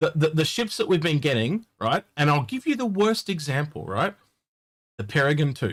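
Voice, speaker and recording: Speaking at a moderate pace with an Australian accent, this voice swings very widely in pitch. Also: man, fairly high pitch for a man. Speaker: gaming livestream co-host. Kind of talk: casual chat.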